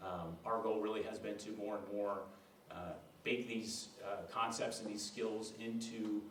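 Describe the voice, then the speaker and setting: Amid audible room echo and noticeable background noise, a man with a fairly low pitch speaks at a fairly slow pace in a flat monotone. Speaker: education leadership consultant. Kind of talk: presentation at a school board meeting.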